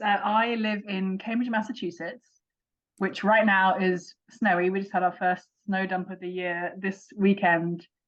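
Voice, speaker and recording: A woman speaks with an English accent at a medium pitch and a fairly slow pace. Her intonation is fairly even. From England. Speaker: author. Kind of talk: interview.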